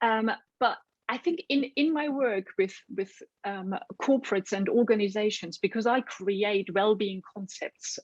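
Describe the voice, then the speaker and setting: In a German accent, a woman with a fairly high voice talks at a fairly slow pace with lively intonation, the sound dry and close with no echo. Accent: German accent, non-native. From Germany. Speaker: nutritionist. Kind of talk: interview.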